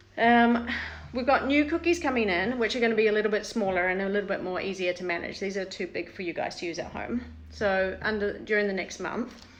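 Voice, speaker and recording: Delivery is at a fairly quick pace with lively intonation. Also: woman, medium pitch for a woman. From New Zealand. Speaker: salon owner demonstrating waxing products. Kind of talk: live product demo and tutorial. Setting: Instagram live stream. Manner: fast; casual, filler-heavy.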